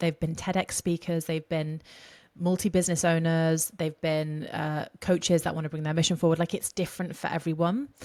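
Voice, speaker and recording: Fairly low-pitched woman at a fairly quick pace, fairly even intonation, on a very clean recording with a silent background. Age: 20s. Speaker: voice coach. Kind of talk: podcast interview. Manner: fast.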